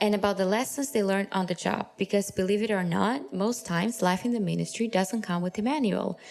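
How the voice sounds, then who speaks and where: A woman speaks with a Romanian accent. Noticeable background noise is present. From Romania, Transylvania. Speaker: podcast host. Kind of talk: podcast interview.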